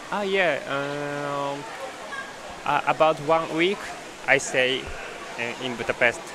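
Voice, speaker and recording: A man's fairly high voice at a very slow pace, with ordinary pitch variation, long and frequent pauses, and noticeable background noise. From Japan. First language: Japanese. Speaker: competitive freediver. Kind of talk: live interview. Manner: halting, hesitant.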